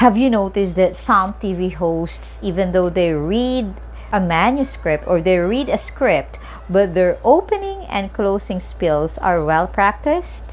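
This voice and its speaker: A woman talks at a fairly slow pace with audible room echo and noticeable background noise around her. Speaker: teacher. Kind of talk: lecture.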